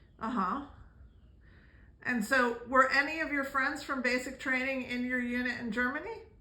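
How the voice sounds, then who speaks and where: Raising and projecting her high voice, a woman speaks at a moderate pace with fairly even intonation and long, frequent pauses. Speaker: family vlogger. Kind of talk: interviewing a family member. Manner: loud, shouting.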